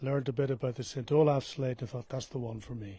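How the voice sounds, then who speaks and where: Speaking with an Irish accent, a man has a medium pitch and a dark, mellow tone. His voice is somewhat breathy, with fairly even intonation. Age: 60s. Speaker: pilgrim. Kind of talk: interview.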